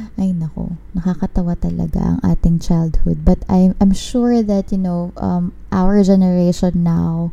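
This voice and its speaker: A woman talks at a fairly slow pace in a fairly low, somewhat breathy voice, dark and mellow in tone, with monotone, flat intonation. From Philippines. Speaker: podcast host. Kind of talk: casual chat. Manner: code-switching between English and Tagalog.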